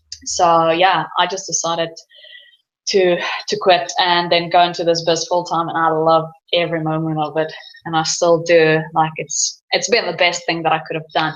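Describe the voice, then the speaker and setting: At a moderate pace, a woman with a fairly low pitch speaks in monotone, flat intonation. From South Africa. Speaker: online business owner. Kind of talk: casual interview chat.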